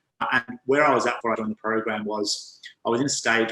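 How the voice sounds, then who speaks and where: Very fast and monotone, a man talks with an Australian accent and flat intonation. His pitch is medium and his tone bright and sharp. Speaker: men's health coach. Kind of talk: interview.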